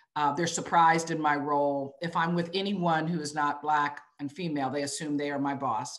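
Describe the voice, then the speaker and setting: A woman with an American accent, very deep and low in pitch, at a fairly quick pace with hardly any pauses and fairly even intonation. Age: 50s. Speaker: business executive. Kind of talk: webinar interview.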